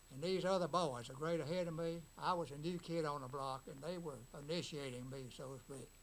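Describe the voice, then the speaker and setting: In a Mississippi accent, a man with a fairly high pitch talks at a fairly quick pace with hardly any pauses and ordinary pitch variation. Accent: Southern US (Mississippi). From Ripley, Mississippi. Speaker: hardware store owner, WWII Army veteran. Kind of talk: interview answer. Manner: casual, anecdotal.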